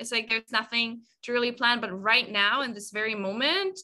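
Her pace is fairly quick, with ordinary pitch variation. The woman speaks with a German accent. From Germany. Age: 20s. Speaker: content creator. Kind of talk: casual interview.

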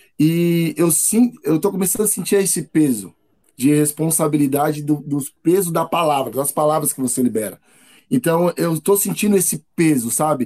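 Speaking at a moderate pace, a man uses a fairly high voice with a dark, mellow tone. His intonation is lively. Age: 30s. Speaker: motivational content creator. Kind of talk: casual interview.

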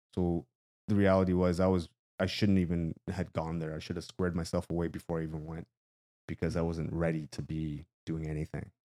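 With a Canadian accent, a man speaks fairly quickly in a very deep, low pitch and a dark, mellow tone, the sound dry and close with no echo. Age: 40s. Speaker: motivational runner and YouTuber. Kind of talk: casual interview chat. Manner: energetic.

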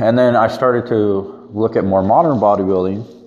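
This man's voice sits at a medium pitch with ordinary pitch variation, and noticeable background noise can be heard. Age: 20s. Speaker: fitness podcaster and powerlifter. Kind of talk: solo monologue podcast.

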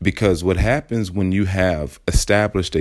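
A man's very deep, low voice. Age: 30s. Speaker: fitness podcast host. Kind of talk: solo podcast monologue.

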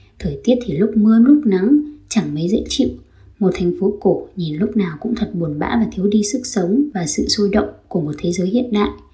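A woman talks at a fairly quick pace in a medium-pitched voice with a dark, mellow tone and vocal fry. Her intonation is lively. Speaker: podcaster, exchange student. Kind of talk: scripted narration.

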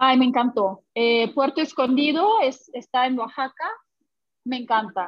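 Fairly slow and high-pitched, a woman delivers her words. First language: Russian (speaking Spanish). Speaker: language teacher. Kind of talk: interview. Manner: halting.

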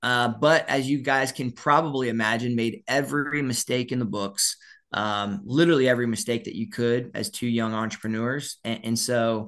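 A man with an American accent speaks in a normal speaking voice at a moderate pace, his pitch medium against a quiet background. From US South, Orlando, Florida. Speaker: sales author. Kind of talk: interview.

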